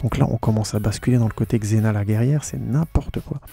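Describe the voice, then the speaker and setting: With music in the background, a man talks at a very fast pace in a medium pitch. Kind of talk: casual podcast film critique, talking to camera. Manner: fast, animated, colloquial.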